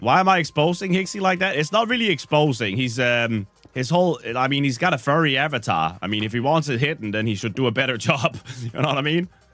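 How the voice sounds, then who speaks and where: Over music in the background, a man talks very fast at a fairly high pitch with very wide pitch swings. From Denmark. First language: Danish. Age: 30s. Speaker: gaming streamer. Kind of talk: casual live-stream chat. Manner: casual, joking.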